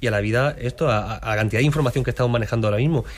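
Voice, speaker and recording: A man with fairly even intonation. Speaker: mathematician, radio section contributor. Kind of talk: casual radio chat.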